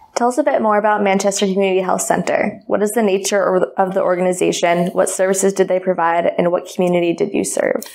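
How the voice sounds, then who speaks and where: Woman at a very fast pace with hardly any pauses, medium pitch, fairly even intonation and very even loudness, over noticeable background noise. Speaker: student co-host. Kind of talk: interview.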